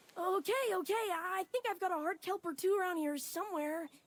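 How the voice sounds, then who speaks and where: This put-on character voice sits at an extremely high pitch and moves at a fairly quick pace. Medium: game stream. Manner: hesitant, stammering.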